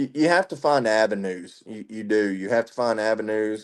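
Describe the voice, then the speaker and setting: Speaking with a Southern US accent, a man has a fairly low pitch with ordinary pitch variation. The background is quiet. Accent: Southern twang. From Tennessee, west of Nashville. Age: 30s. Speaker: military veteran. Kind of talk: casual interview chat.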